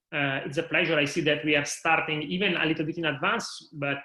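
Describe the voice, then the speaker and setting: Speaking at a moderate pace with an Italian accent, a man uses fairly even intonation and a bright, sharp tone. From Italy, Milan. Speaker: higher education manager. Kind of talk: interview.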